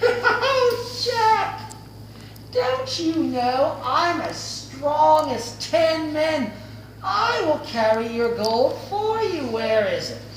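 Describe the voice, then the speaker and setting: A woman talks very slowly in a put-on character voice. There is a slight echo and clear background noise. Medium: read story. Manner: laughing, gloating.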